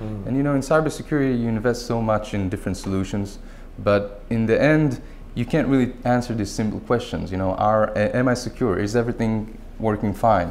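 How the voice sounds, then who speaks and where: There is light background noise as a man talks at a fairly quick pace. His pitch varies in an ordinary way. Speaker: guest. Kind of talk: interview answer. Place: studio. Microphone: lapel.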